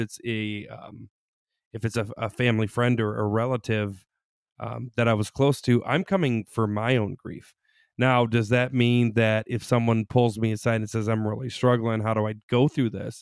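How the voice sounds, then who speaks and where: In a very clean recording with a silent background, a man with an ordinary speaking voice talks at a moderate pace and medium pitch, his intonation fairly even and the sound dry and close with no echo. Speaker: psychologist. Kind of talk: casual chat.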